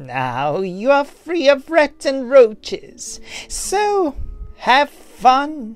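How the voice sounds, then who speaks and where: A put-on character voice, high-pitched and very slow, with faint music in the background. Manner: sassy.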